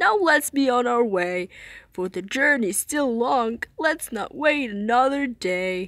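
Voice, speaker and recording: A woman's put-on character voice, high-pitched and fairly slow. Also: lively intonation. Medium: read story.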